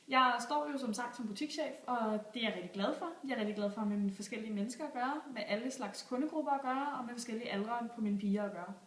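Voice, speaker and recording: Speaking at a very fast pace with hardly any pauses, a woman uses a high pitch and ordinary pitch variation. Audible room echo and noticeable background noise fill the recording. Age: 20s. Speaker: job applicant, store manager. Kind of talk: video job application pitch. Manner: enthusiastic, persuasive.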